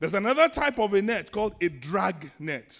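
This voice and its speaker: A man with a Nigerian accent and very wide pitch swings, on a very clean recording with a silent background. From Nigeria, Lagos. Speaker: pastor. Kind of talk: sermon. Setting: church.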